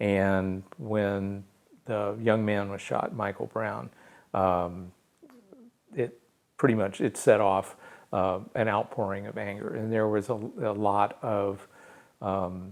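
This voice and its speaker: A man with a US Midwestern accent speaks at a very slow pace in a fairly low pitch, leaving long, frequent pauses. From St. Louis area, Missouri. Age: 60s. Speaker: technical editor and writer. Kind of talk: interview. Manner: halting, many fillers.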